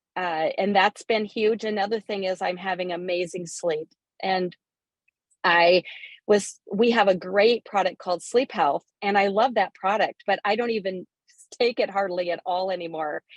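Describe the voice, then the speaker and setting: A woman in an ordinary speaking voice keeps a medium pitch, a moderate pace and fairly even intonation. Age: 60s. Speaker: business partner sharing product testimony. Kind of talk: testimony.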